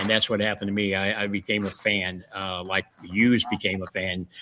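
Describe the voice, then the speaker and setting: Bright and sharp in tone, a man's fairly low voice carries a St. Louis accent. His intonation is monotone and flat, at a moderate pace. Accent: Midwestern US (St. Louis). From St. Louis area, Missouri. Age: 70s. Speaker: wrestling promoter and historian. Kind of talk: interview. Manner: halting, many fillers.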